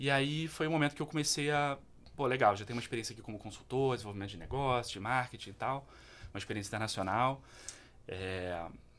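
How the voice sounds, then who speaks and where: A man talks at a very fast pace, with ordinary pitch variation and big swings in loudness. The recording is very clean, with a silent background. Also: medium pitch for a man. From Petrópolis, Rio de Janeiro state, Brazil. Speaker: social entrepreneur. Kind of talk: interview.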